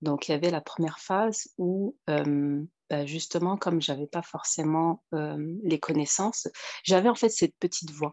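A woman with a fairly low pitch talks at a fairly slow pace, her pitch varying in an ordinary way. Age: 30s. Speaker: single mother giving coaching testimony. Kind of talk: interview testimony. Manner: halting.

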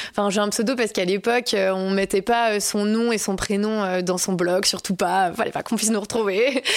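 In a plain, everyday voice, the speaker keeps a moderate pace, very even loudness and fairly even intonation, with hardly any pauses. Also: woman, medium pitch for a woman. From Alsace, France. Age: 20s. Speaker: content creator. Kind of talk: interview.

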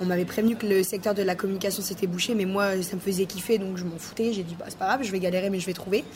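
A woman's medium-pitched, flat, monotone voice at a very fast clip with hardly any pauses, over noticeable background noise. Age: 20s. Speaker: web designer and entrepreneur. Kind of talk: interview.

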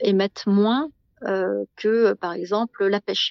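With a medium pitch and ordinary pitch variation, a woman talks. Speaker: guesthouse owner. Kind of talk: interview.

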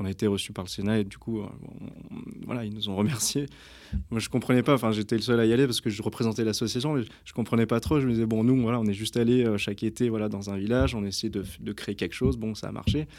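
In a very clean recording with a silent background, a man speaks at a very fast pace and medium pitch with ordinary pitch variation. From France, Versailles area. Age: 30s. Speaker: rugby coach and humanitarian association founder. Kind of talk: casual interview. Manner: halting, many hesitations.

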